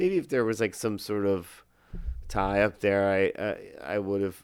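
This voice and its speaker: In a plain, everyday voice, this man talks at a fairly low pitch. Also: very clean recording, silent background. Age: 40s. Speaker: musician. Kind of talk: casual chat.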